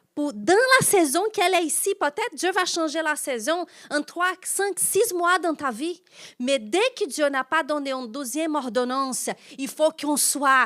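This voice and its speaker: A woman with a non-native accent, high-pitched and lively in intonation, at a fairly slow pace. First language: not French (speaking French). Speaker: pastor. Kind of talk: sermon.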